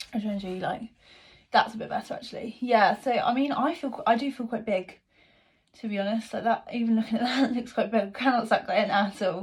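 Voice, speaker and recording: In a very clean recording with a silent background, a woman speaks at a very fast pace, fairly high in pitch, somewhat breathy, with ordinary pitch variation. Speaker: vlogger. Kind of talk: casual vlog talk.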